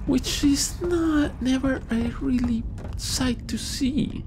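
Noticeable background noise under a man talking. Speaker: gaming YouTuber. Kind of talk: let's play commentary. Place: home room.

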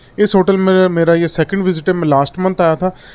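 A man's monotone, flat intonation. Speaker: guest. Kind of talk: interview answer. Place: hall. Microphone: handheld.

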